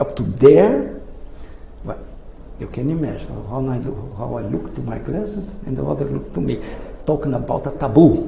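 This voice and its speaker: Recorded with audible room echo and noticeable background noise, a man speaks with a non-native accent at a moderate pace. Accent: foreign. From Brazil. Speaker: inventor. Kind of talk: presentation. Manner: halting.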